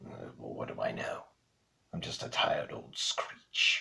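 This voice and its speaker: Raspy and clearly a put-on character voice, a man delivers his lines. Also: moderate pace. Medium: fan dub. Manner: gruff, dry.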